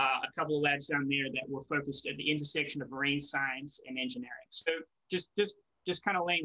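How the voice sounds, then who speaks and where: In a quiet setting, a man is talking. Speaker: presenter. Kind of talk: presentation talk. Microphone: webcam.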